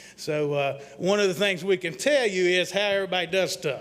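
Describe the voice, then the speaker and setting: Audible room echo surrounds a man with a high voice whose pitch varies in an ordinary way. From Mississippi. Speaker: economic development consultant. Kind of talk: presentation to city council. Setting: council meeting at airport. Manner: fast; folksy.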